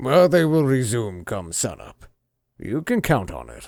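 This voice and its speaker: On a very clean recording with a silent background, a man in a put-on character voice at a medium pitch speaks at a moderate pace with very wide pitch swings and big swings in loudness. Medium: read story. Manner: jovial, paternal.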